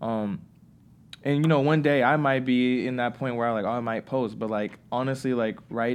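A man with an ordinary speaking voice, medium pitch, ordinary pitch variation and a fairly quick pace, over a quiet background. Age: 20s. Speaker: college football player and author. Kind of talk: casual interview.

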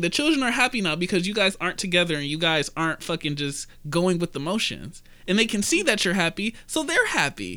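In an American accent, a raised, projected voice speaks at a moderate pace over music in the background. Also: man. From US Midwest, Detroit. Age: 20s. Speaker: podcast host. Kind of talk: casual chat.

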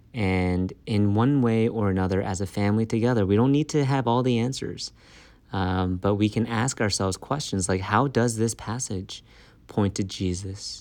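In an American accent, a man with an ordinary speaking voice talks at a moderate pace and fairly low pitch with ordinary pitch variation, in a very clean recording with a silent background. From Maryland, US. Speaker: pastor. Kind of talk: interview testimony.

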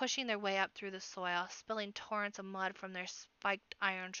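The speaker reads in an unforced reading voice.

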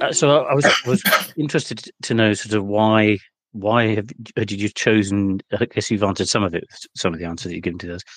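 A normal speaking voice at a fairly quick pace with ordinary pitch variation, in a dry, close sound with no echo. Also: man, fairly low pitch for a man. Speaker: podcast guest. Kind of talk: casual chat.

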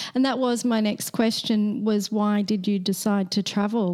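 A woman with an Australian accent, medium in pitch and moderate in pace, with a dark, mellow tone and fairly even intonation. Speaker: podcast host. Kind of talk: casual interview.

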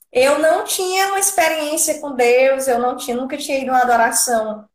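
A woman speaks with a high pitch at a moderate pace. Her intonation is lively. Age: 30s. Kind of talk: testimony.

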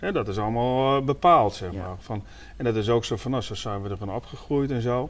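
At a fairly quick pace and with ordinary pitch variation, this is an unremarkable speaking voice. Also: man, medium pitch for a man. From Leeuwarden, Friesland. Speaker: podcast host. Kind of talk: casual chat. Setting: on location in a small house.

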